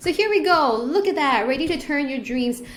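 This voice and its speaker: A woman speaks at a moderate pace in an animated tone, her pitch swinging very widely, with audible room echo around her. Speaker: online business educator. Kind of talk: screen-share tutorial.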